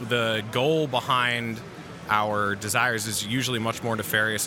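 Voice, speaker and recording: Noticeable background noise sits behind the speech. A man talks at a medium pitch. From New Hampshire. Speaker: trucker and podcast host. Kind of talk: casual chat. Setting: live event recording.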